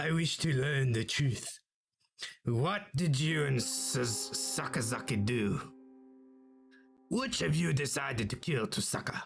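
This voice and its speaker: A raspy put-on character voice moves at a fairly slow pace with long, frequent pauses. Faint music plays in the background. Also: man, medium pitch for a man. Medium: game stream. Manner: stiff, formal.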